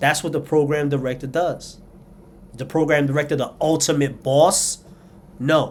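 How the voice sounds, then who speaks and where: A man with a New York accent, fairly high in pitch, in monotone, flat intonation at a moderate pace with long, frequent pauses. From New York City, South Bronx. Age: 40s. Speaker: commentator. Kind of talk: opinion monologue.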